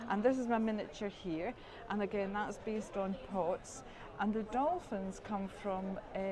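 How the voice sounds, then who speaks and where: A woman with a Scottish accent speaks at a fairly slow pace and a medium pitch, her pitch varying in an ordinary way, with audible room echo and noticeable background noise. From Scotland. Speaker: quilting course graduate. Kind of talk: interview.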